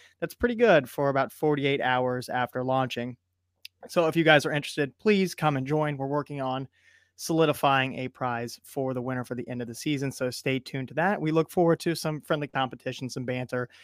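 A man speaks at a fairly quick pace in a plain, everyday voice, his medium pitch moving with ordinary variation, in a very clean recording with a silent background and a dry, close sound with no echo. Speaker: podcast host. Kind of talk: casual podcast chat.

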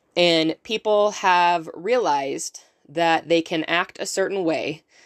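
Heard on a very clean recording with a silent background and a dry, close sound with no echo, a woman with an unremarkable speaking voice talks at a fairly slow pace and a fairly low pitch. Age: 30s. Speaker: podcast host. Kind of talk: solo motivational podcast talk. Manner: casual with frequent fillers.

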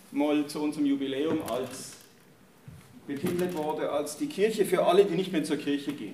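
With an unremarkable speaking voice, a man speaks at a fairly high pitch and moderate pace, using ordinary pitch variation. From Germany. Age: 50s. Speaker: church leader and pastoral worker. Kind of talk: talk to an audience.

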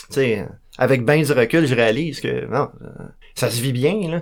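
A man talks at a moderate pace. He has a Quebec accent. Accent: Québécois French. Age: 40s. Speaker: recovering alcoholic sharing his story. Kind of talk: testimony. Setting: radio studio. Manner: halting.

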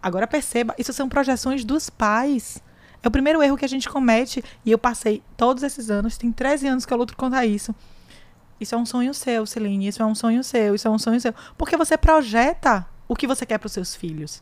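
A woman speaks at a fairly quick pace in a high pitch with ordinary pitch variation. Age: 30s. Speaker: podcast host, lawyer. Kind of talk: casual chat.

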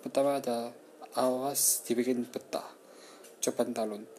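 A man talks at a medium pitch and a fairly slow pace, with flat, monotone intonation. Noticeable background noise sits behind him. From Malang, East Java, Indonesia. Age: 20s. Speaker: podcaster. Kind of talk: travel review reading. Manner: halting.

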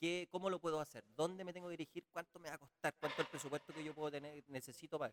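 A man's very fast, fairly high voice with a Chilean accent, fairly even intonation and big swings in loudness, in a dry, close sound with no echo. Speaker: podcast host. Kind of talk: casual interview.

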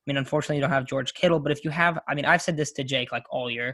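Fairly high for a man, this American-accented male voice has a bright, sharp tone and fairly even intonation. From Coachella Valley, Southern California. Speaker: podcast host, college student. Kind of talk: casual chat.

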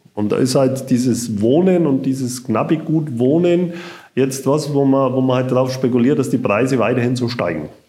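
Here a man speaks in an Upper Franconian accent with a dark, mellow tone. Room echo is audible around his voice. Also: medium pitch for a man, ordinary pitch variation, moderate pace. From Upper Franconia, Bayreuth. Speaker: housing cooperative executive. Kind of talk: interview.

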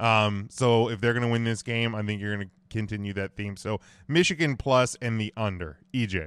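Recorded very cleanly with a silent background, a man with a normal speaking voice and fairly low pitch talks at a moderate pace with ordinary pitch variation and hardly any pauses. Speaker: sports podcast host. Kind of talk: sports talk show discussion.

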